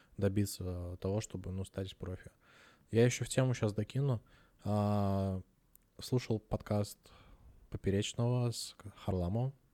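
A dark, mellow tone carries fairly even intonation at a fairly slow pace, broken by long, frequent pauses. The recording is very clean with a silent background and a dry, close sound with no echo. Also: man, fairly low pitch for a man. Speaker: podcast co-host. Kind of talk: casual chat.

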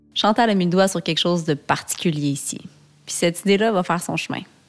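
Woman with a Quebec accent and a fairly low pitch, at a fairly quick pace. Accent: Québécois French. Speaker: podcast host, media founder. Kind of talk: documentary narration. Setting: outdoors.

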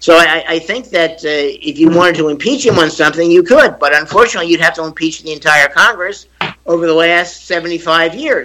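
Pitched high, a man talks at a fairly quick pace with ordinary pitch variation. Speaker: attorney and former diplomat. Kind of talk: radio panel debate.

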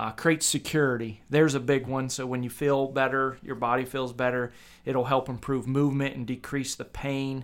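Speaking with a Midwestern American accent, a man holds a medium pitch at a moderate pace. His intonation stays monotone and flat. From Kent, Ohio, US Midwest. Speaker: physical therapist assistant and podcast co-host. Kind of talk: casual chat.

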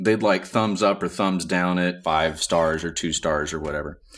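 On a very clean recording with a silent background, a man with a very deep, low pitch talks with ordinary pitch variation. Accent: Southern US. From US South, Montgomery, Alabama. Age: 40s. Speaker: musician and podcast editor. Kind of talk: casual chat.

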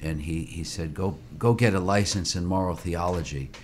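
Audible room echo surrounds a man's voice. His pitch is very deep and low, and his intonation fairly even. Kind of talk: interview.

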